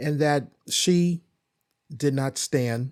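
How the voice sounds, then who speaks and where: The recording is very clean, with a silent background and a dry, close sound with no echo. A man speaks in an animated tone. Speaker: podcast host. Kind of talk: casual chat.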